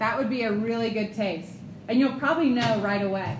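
In an American accent, a woman speaks at a fairly high pitch, with audible room echo around her. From Ohio, US Midwest. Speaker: ministry staff trainer. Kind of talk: seminar talk. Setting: room with live audience.

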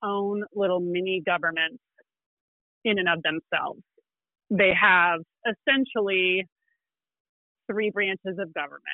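With an American accent, a woman speaks at a medium pitch and with fairly even intonation. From Illinois. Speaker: environmental lawyer. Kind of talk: podcast interview explaining law.

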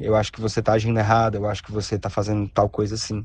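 Dark and mellow, the tone stands out. Nothing intrudes from the background. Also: man. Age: 20s. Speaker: listener sending a voice message. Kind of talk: recorded voice message.

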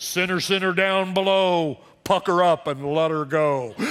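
A man's put-on character voice, high-pitched, at a moderate pace, on a very clean recording with a silent background. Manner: mock-booming, teasing.

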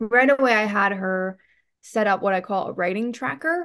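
A woman with an unremarkable speaking voice talks at a moderate pace with ordinary pitch variation over a quiet background. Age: 30s. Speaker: writing coach. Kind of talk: casual chat.

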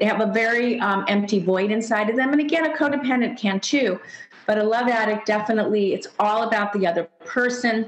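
Her speech fairly quick and her loudness very even, a woman with a fairly high pitch talks with an American accent. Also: ordinary pitch variation. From California. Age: 60s. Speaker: psychotherapist and author. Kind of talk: interview.

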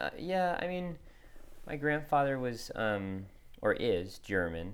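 A man's voice with audible room echo. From Connecticut, US Northeast. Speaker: singer-songwriter. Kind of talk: interview. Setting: recording studio.

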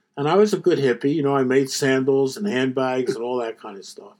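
Fairly high in pitch, a man talks with lively intonation in a Philadelphia accent. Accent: American, Philadelphia. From US, Philadelphia. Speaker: economics professor. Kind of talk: interview.

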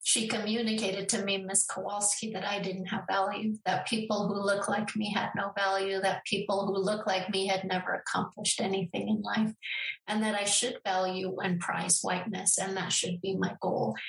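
A woman's voice, monotone and flat, at a very even loudness with hardly any pauses, over noticeable background noise. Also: medium pitch for a woman, moderate pace. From Denver, Colorado (north side), born in Mexico. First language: Spanish. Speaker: education professor. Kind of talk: interview.

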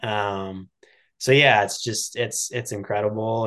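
Over a quiet background, a man talks at a fairly low pitch with fairly even intonation. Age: 30s. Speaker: professional triathlete. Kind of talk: interview.

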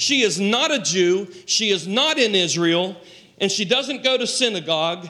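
The clip consists of plain reading aloud.

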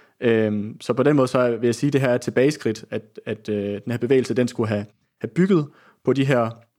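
Fairly quick male speech in a dark, mellow tone with ordinary pitch variation, on a very clean recording with a silent background. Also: medium pitch for a man. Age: 20s. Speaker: socialist newspaper editor. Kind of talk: political discussion. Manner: halting.

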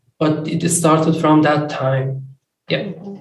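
This man talks at a very slow pace in a fairly high pitch, with a non-native accent. His intonation stays monotone and flat. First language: not English. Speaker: recovery meeting speaker. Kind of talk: testimony. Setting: video call.

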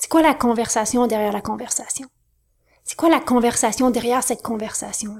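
A woman with a Quebec accent, high-pitched and animated, at a fairly quick pace with big swings in loudness. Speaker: business coach. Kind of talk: interview.

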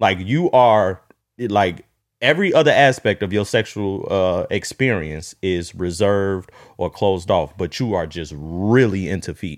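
An unremarkable speaking voice, this man's fairly low pitch comes with lively intonation at a moderate pace on a very clean recording with a silent background. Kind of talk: casual chat. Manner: casual, joking.

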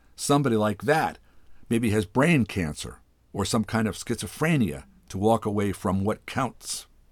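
The recording is plain reading aloud. Words are read off the page.

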